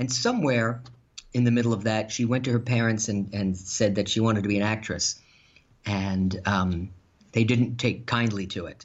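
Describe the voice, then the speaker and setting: Speaking in a normal speaking voice with an American accent, a man keeps a fairly low pitch and fairly even intonation at a moderate pace. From New York, Long Island. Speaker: radio executive and playwright. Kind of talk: interview.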